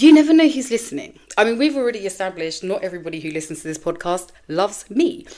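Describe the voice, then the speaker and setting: With a British accent, a woman races along at a very fast pace and medium pitch, hardly pausing, her voice making very wide pitch swings. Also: big swings in loudness. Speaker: podcast host. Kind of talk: casual monologue. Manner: loud.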